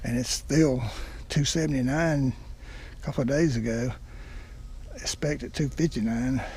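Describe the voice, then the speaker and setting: Somewhat breathy and dark, mellow in tone, a man speaks at medium pitch and moderate pace with fairly even intonation and long, frequent pauses. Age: 70s. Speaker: car owner reviewer. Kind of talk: casual video review. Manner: halting.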